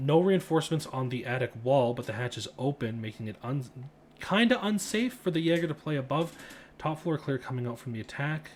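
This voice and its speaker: Lively in intonation and somewhat breathy, a man with a fairly high pitch talks at a fairly quick pace. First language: not English. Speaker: esports caster. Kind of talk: live commentary.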